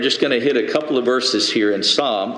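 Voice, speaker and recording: A man's medium-pitched voice rises and falls in an ordinary way while noticeable background noise fills the clip. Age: 80s+. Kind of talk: sermon.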